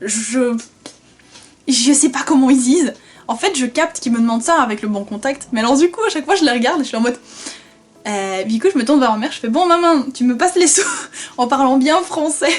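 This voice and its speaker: A high-pitched woman's voice with a Flemish accent, lively intonation and a fairly quick pace, over noticeable background noise. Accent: Flemish accent when speaking Dutch. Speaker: vlogger. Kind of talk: casual vlog storytelling. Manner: animated, conversational.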